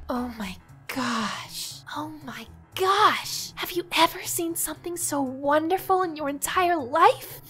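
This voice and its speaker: A woman does a cartoonish character voice at a high pitch and a fairly slow pace. Faint music plays in the background. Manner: excited.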